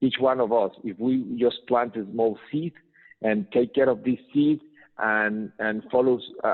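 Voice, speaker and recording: A man talks at a medium pitch. He has a Spanish accent. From Mexico. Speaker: business trainer and entrepreneur. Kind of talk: interview. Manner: halting.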